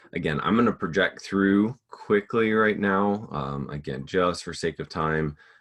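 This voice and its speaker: Speaking at a fairly slow pace, a man uses lively intonation with vocal fry. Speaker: teacher leading a workshop demonstration. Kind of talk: teaching demonstration in a workshop.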